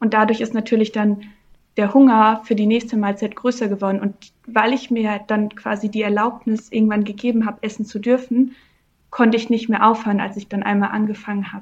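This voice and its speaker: A woman speaks in a fairly high, somewhat breathy voice. Her intonation stays flat and monotone. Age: 20s. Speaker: coaching client. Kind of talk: interview. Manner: halting.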